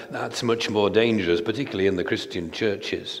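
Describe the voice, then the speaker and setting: The speaker is a man. Ordinary pitch variation marks his delivery. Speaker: preacher. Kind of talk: sermon. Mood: earnest, argumentative. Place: church. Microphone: headset.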